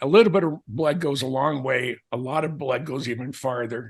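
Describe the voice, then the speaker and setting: Fairly high in pitch and touched with vocal fry, a man talks at a fairly slow pace with lively intonation. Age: 70s. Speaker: aviation author. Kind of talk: casual chat. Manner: halting.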